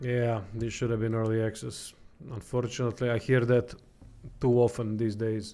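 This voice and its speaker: Speaking with a non-native accent, a man keeps a moderate pace and a medium pitch. His intonation is monotone and flat, and his tone is dark and mellow. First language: not English. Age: 30s. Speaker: game streamer and reviewer. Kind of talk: livestream gameplay commentary. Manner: halting.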